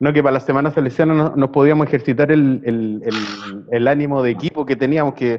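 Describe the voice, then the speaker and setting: In a Chilean accent, a man talks at a fairly quick pace and medium pitch. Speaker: podcast host. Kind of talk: casual chat. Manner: halting.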